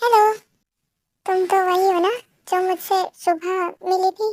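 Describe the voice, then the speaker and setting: Putting on a squeaky character voice at an extremely high pitch, a woman talks at a moderate pace in a monotone, flat delivery, with a dry, close sound and no echo. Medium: read story. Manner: warm, polite.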